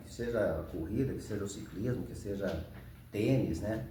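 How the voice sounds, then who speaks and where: Over noticeable background noise and audible room echo, a man speaks fairly slowly with a fairly low pitch. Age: 60s. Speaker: ultramarathon runner, retired professor. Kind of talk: interview.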